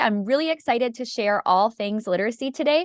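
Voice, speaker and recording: A woman's fairly high, lively voice in a northern US accent, with a dry, close sound, no echo and a quiet background. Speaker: literacy educator. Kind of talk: webinar presentation. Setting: video call. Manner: informal.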